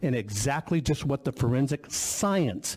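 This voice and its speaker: Here a man speaks at a medium pitch. His intonation is lively. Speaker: inventor and technology expert testifying. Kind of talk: testimony at legislative hearing. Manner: loud.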